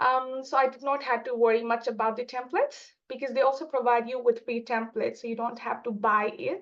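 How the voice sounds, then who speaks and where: The speaker has a non-native accent and fairly even intonation. The pace is fairly quick, with hardly any pauses. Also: woman. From Nepal. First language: not English. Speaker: panelist, recent graduate. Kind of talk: panel talk. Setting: webinar.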